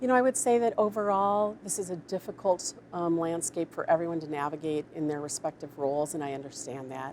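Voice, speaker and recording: A woman with an ordinary speaking voice, fairly low pitch and lively intonation, at a fairly quick pace with hardly any pauses. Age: 60s. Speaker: public health officer. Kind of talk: prepared statement; press briefing Q&A. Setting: media briefing.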